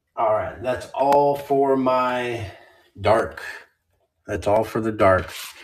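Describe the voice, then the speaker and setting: Amid audible room echo, a man with an American accent speaks at a very slow pace with long, frequent pauses, his medium pitch kept to fairly even intonation. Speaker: card seller streamer. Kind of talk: live stream card sale. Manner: casual, chatty.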